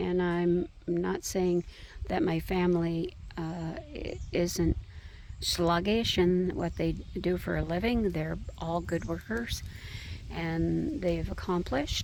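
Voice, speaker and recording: A woman speaks at a very slow pace, with audible echo from the room. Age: 70s. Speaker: personal vlogger. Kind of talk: personal reflection monologue. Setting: outdoors by a fire. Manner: halting, many fillers.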